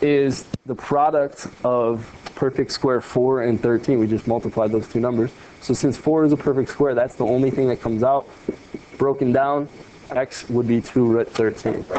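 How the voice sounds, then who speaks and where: Against noticeable background noise, a man of medium pitch speaks with fairly even intonation. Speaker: math teacher. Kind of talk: video lesson. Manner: fast.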